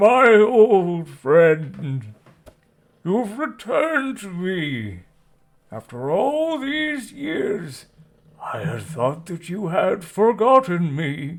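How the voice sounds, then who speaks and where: In a put-on character voice, a man speaks at a very slow pace, high-pitched and with very wide pitch swings. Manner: bellowing.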